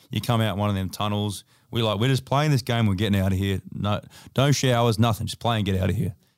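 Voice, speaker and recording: A man with a fairly low pitch talks in an Australian accent. His intonation is fairly even, and the recording is very clean with a silent background. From Australia, Adelaide. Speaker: basketball player. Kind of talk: casual chat. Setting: studio.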